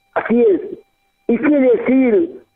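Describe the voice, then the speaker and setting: Lively intonation carries speech that moves at a very slow pace. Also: man. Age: 70s. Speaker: pastor. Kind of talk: testimony. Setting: radio broadcast.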